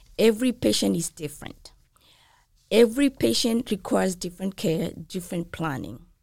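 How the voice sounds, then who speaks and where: At a moderate pace, a woman speaks with vocal fry and very wide pitch swings on a very clean recording with a silent background. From outside the US. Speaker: nurse practitioner and nursing instructor. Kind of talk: interview.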